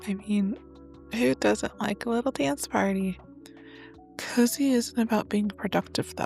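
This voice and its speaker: A soft-spoken woman talks at a fairly slow pace with long, frequent pauses. Music plays in the background. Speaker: podcast host. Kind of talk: casual monologue. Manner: rambling, chatty.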